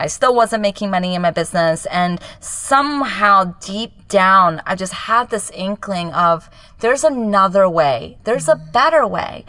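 A woman with a Japanese accent at a medium pitch. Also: moderate pace, hardly any pauses. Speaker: business coach. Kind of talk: casual chat. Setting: home closet recording.

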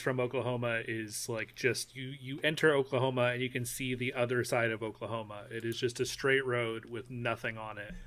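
An ordinary speaking voice: a man at medium pitch talks at a fairly quick pace with big swings in loudness, in a very clean recording with a silent background. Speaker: dad and gaming guest. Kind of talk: casual chat.

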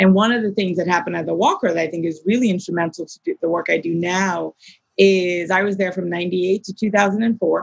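In an American accent, a woman with a plain, everyday voice and medium pitch talks fairly quickly with fairly even intonation, in a dry, close sound with no echo. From US, Maryland (childhood in Nigeria 6-15). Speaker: arts nonprofit executive director. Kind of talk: interview.

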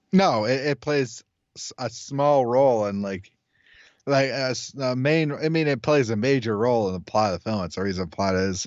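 A man talks at a moderate pace and medium pitch with lively intonation. His is an ordinary speaking voice. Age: 20s. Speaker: podcast co-host, film reviewer. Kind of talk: casual chat. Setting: Skype call.

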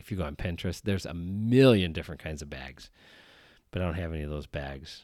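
Over a silent background in a very clean recording, a man with an American accent talks at a very fast pace with a very deep, low pitch. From US Midwest, rural Wisconsin. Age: 40s. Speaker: podcast host, student teacher. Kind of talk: solo podcast monologue.

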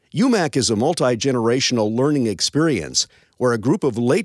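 An ordinary speaking voice with an American accent, lively intonation and a moderate pace, in a very clean recording with a silent background. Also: man. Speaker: radio host. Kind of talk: radio host narration.

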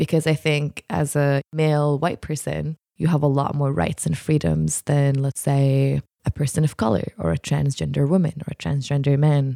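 Speaking with an Arabic accent at a moderate pace, a woman with a very deep, low pitch and a dark, mellow tone is heard in a dry, close sound with no echo. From Jordan. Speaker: podcast guest. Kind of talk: casual discussion. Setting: studio.

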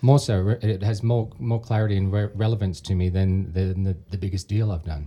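Speaking at a fairly quick pace with an Australian accent, a man has a fairly low pitch, a dark, mellow tone, a somewhat breathy quality and ordinary pitch variation. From Sydney, Australia. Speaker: real estate investor. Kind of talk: casual chat. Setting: studio.

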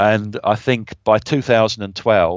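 A man with a southern English accent, at a moderate pace, with ordinary pitch variation. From southern England, Brighton. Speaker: business intelligence consultant. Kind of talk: interview.

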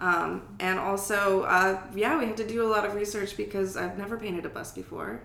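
Speaking at a fairly quick pace with hardly any pauses, a woman with an American accent keeps her intonation fairly even, with audible room echo and noticeable background noise. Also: medium pitch for a woman. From Germany (US army family). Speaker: artist. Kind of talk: casual interview.

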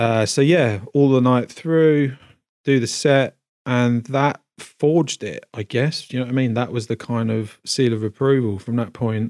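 A man speaks with a London accent at a fairly slow pace, his intonation fairly even. The recording is very clean with a silent background and a dry, close sound with no echo. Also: medium pitch for a man. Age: 40s. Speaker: cinematographer and music producer. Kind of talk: casual chat. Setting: home studio.

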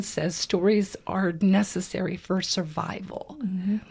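A woman's somewhat breathy voice moves at a fairly slow pace, its pitch varying in an ordinary way. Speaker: podcast co-host. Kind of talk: casual chat.

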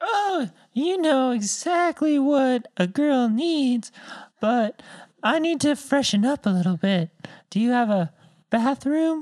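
At a fairly slow pace, a woman speaks with a high pitch. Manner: coy, falsetto flirting.

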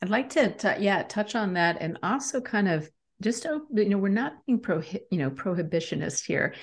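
Against a quiet background, a somewhat breathy voice with very wide pitch swings moves at a moderate pace. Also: woman, medium pitch for a woman. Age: 50s. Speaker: leadership coach and author. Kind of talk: interview.

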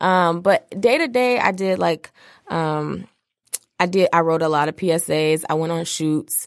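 With an American accent, a woman has an unremarkable speaking voice at a fairly low pitch. She speaks at a fairly slow pace with ordinary pitch variation. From Detroit, Michigan. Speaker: video storyteller and entrepreneur. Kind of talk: casual interview chat.

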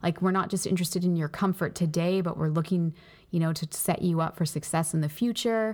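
A woman with a plain, everyday voice talks at a fairly quick pace in a fairly low pitch. Her loudness is very even, her intonation fairly even, and the recording very clean with a silent background. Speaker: pastor and podcast co-host. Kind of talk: casual faith-based discussion.

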